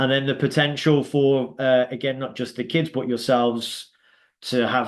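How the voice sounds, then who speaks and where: This man speaks with a Birmingham accent at a moderate pace. His intonation stays monotone and flat. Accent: Birmingham (Brummie), noticeable. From England, Birmingham. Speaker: youth soccer league founder and coach. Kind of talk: informational presentation on a Zoom call. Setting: video call. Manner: hesitant, many fillers.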